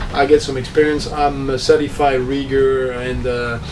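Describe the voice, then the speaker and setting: Speech in a French accent comes at a moderate pace with monotone, flat intonation, audible room echo and noticeable background noise. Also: man. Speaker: sailing youtuber, former professional skipper. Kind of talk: tutorial vlog. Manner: halting, many fillers.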